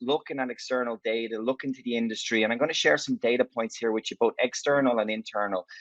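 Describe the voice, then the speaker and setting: With an Irish accent, a man talks at a very fast pace. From Ireland. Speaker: tech company executive. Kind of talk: conference talk. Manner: conversational.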